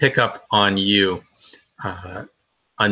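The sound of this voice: The background is quiet. Over it comes an unforced reading voice.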